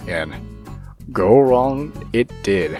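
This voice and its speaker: A man speaks while music plays in the background. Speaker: gaming YouTuber. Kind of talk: gameplay commentary voiceover.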